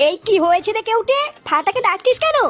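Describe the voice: A woman's cartoonish character voice, extremely high in pitch, with very wide pitch swings at a fairly quick pace.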